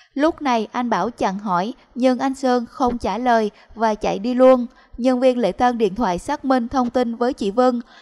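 Recorded with a dry, close sound and no echo, the voice moves at a fairly slow pace with ordinary pitch variation. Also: woman. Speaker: news presenter. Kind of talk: news reading.

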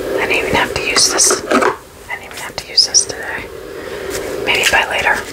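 Someone whispers at a moderate pace while noticeable background noise fills the clip. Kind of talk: casual rambling ASMR talk to camera. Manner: whispered.

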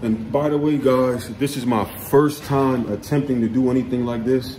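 A man speaks with fairly even intonation. Light background noise can be heard. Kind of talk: casual vlog chat. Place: home room. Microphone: phone near.

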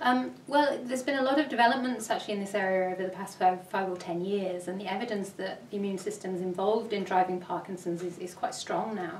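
A woman talks very fast, her pitch varying in an ordinary way. Audible room echo and light background noise are present. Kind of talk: interview answer. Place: office.

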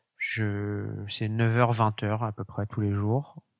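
At a very slow pace, a man speaks in a fairly low pitch with monotone, flat intonation. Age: 20s. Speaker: fashion entrepreneur. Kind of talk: interview.

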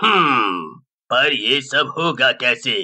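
A man puts on a character voice with a bright, sharp tone, big pitch swings and a very slow pace. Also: medium pitch for a man.

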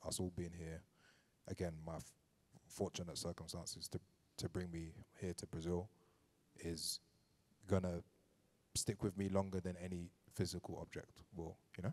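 Speaking with a London accent, a man uses a very deep, low pitch and a monotone, flat intonation, with long, frequent pauses. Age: 30s. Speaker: DJ and artist manager giving a lecture; DJ, artist manager giving a lecture. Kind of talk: lecture. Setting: venue with live audience. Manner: casual, many fillers. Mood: grateful, reflective. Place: hall. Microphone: handheld.

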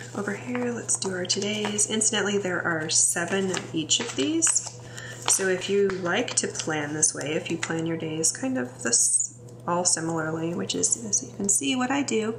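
A woman's relaxed, very deep, low voice with an American accent, moderate pace and very wide pitch swings, over noticeable background noise. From US Midwest. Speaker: English professor and planner video creator. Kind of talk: casual tutorial, planner walkthrough; casual tutorial chat. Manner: chatty, relaxed with fillers.

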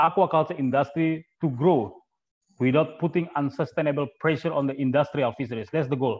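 A man with an Indonesian accent talks at a fairly quick pace, his intonation fairly even, against a quiet background. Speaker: webinar moderator. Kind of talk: webinar moderating. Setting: video call. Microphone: earbuds.

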